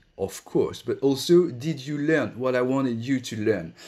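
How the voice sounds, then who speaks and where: A man is speaking. He has a French accent. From France. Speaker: school director. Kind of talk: online panel talk. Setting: online session.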